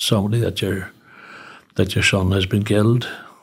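A man speaks with a Northern Irish accent at a fairly low pitch. His voice is somewhat breathy, and his intonation is monotone and flat. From Northern Ireland, Newry. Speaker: charity founder, retired teacher. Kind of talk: interview.

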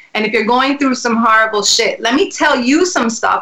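Pitched fairly high, a woman with a New York accent speaks with ordinary pitch variation. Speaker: singer and actress. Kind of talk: casual interview chat.

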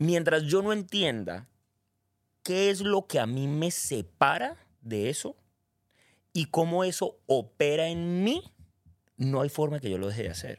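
Over a silent background in a very clean recording, a man speaks at a fairly slow pace with a fairly high pitch, very wide pitch swings, and long, frequent pauses. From Colombia, Cali. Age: 40s. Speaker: personal development facilitator. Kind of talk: casual chat.

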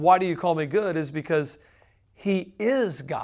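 With a Southern US accent, a man speaks in a high voice at a moderate pace. His pitch variation is ordinary, and the recording is very clean with a silent background. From US South. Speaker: podcast co-host. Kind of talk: casual Q&A chat about Bible questions.

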